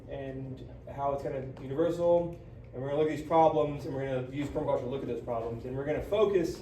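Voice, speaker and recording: With an American accent, a man speaks in fairly even intonation. Audible room echo and noticeable background noise fill the recording. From West Virginia and Indiana. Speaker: permaculture teacher. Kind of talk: lecture. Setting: conference class, small audience. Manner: fast.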